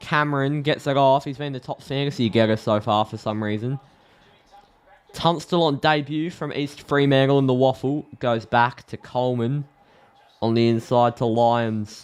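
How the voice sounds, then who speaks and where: At a moderate pace, a man with an Australian accent talks in a medium pitch with fairly even intonation. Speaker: AFL live stream host. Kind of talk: live commentary. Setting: live stream. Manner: sounds sarcastic.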